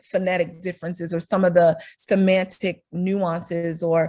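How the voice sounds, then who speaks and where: Somewhat breathy, with a dark, mellow tone, a woman speaks with a Northeastern US accent on a very clean recording with a silent background. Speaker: speech-language pathologist. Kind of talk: presentation to a professional group.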